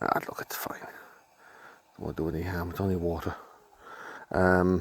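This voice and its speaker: A quiet man's voice, very deep and low in pitch, monotone and flat at a moderate pace, with noticeable background noise. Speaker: camping vlogger. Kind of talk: casual vlog talk. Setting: outdoors at campsite. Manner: quiet, keeping voice down.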